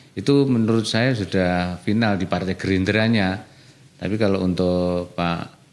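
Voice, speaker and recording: A man speaks in a very deep, low pitch while clearly audible noise runs in the background. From Indonesia, East Java. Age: young. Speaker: local politician; local politician guest. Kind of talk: radio interview. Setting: radio studio. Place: studio. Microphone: studio mic.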